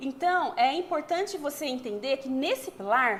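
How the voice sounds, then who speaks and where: Here a woman speaks with a high pitch. Her intonation is lively. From interior of São Paulo state, Brazil. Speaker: HR strategist and online course seller. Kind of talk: webinar sales presentation. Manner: fast.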